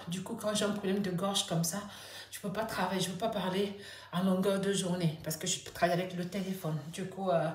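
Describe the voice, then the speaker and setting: With monotone, flat intonation and a medium pitch, a woman talks at a fairly quick pace, with audible room echo and noticeable background noise. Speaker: vlogger. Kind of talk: personal vlog. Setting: at home. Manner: halting.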